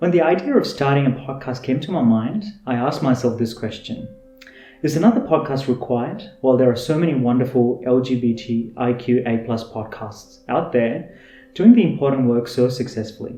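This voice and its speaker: Music plays in the background while a man speaks with a Tamil accent. His pitch is medium and his pace fairly quick. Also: ordinary pitch variation. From India, Chennai (Tamil Nadu). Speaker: podcast host. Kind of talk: scripted self-introduction.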